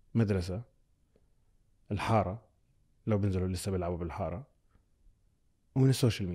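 Against a quiet background, a man talks at a moderate pace with ordinary pitch variation. His tone is dark and mellow, and somewhat breathy. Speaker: content creator and communications executive; content creator. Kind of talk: casual chat. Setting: studio. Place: studio. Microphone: studio mic.

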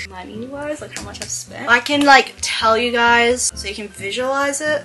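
A woman talks at a moderate pace in an Australian accent. Faint music plays in the background. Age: young. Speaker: lifestyle vlogger. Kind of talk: casual talk to camera. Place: home room. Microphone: webcam.

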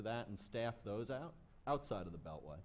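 Fairly quick speech with lively intonation and vocal fry. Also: man. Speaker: security industry analyst. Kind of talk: conference panel discussion. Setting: stage with audience. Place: hall. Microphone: podium.

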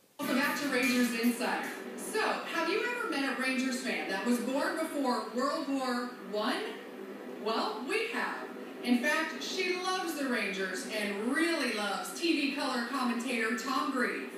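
A woman speaks at a fairly slow pace with hardly any pauses, her high pitch carried by lively intonation. Strong room echo and noticeable background noise fill the recording. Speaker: sports TV reporter. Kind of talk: TV sports show host intro. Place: stadium.

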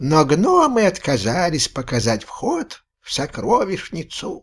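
Putting on a character voice, a man pitches his speech high. He keeps a fairly slow pace. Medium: read story.

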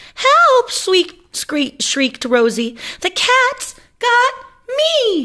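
A put-on character voice, extremely high and shrill, with very wide pitch swings. It moves at a very slow pace. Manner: shrieking in panic.

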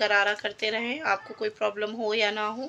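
This woman has a fairly high pitch and a bright, sharp tone. Her intonation stays monotone and flat. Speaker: vlogger. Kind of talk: casual vlog narration.

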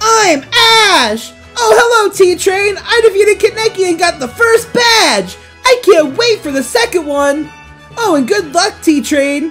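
Against clear music in the background, a put-on character voice with an extremely high pitch speaks at a fairly slow pace. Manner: cheerful, enthusiastic.

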